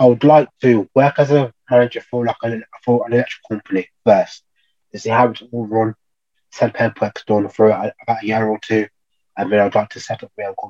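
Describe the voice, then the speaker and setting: With a Birmingham accent, a man at medium pitch talks at a fairly quick pace in a dark, mellow tone, his intonation fairly even but his loudness swinging widely, the sound dry and close with no echo. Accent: Birmingham (Brummie). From Birmingham, England. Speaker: electrical trainee. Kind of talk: casual interview. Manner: halting.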